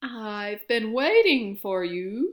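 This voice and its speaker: A woman's put-on character voice, fairly high in pitch. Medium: read story. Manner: calm, solemn.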